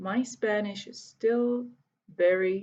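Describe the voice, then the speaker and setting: At a very slow pace, a woman speaks in a medium-pitched, somewhat breathy voice. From Hungary, Budapest. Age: 30s. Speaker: volunteer English teacher. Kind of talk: video self-introduction to students.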